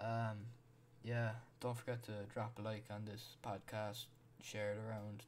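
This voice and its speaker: The man's voice sits at medium pitch, monotone with flat intonation, at a moderate pace. Audible room echo surrounds it. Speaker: podcast host. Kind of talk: solo podcast monologue. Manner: halting, many fillers and repeats.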